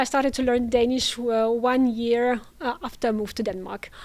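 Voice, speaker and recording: Someone speaks at a moderate pace in a Russian accent, with fairly even intonation. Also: woman. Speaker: international students coordinator. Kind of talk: interview. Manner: hesitant, many fillers.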